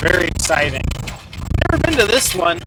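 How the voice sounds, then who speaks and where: Speech in an American accent, with noticeable background noise. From US Pacific Northwest (Seattle, Washington). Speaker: RV vlogger. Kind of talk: casual vlog talk to camera. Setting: in a vehicle driving on a dirt road.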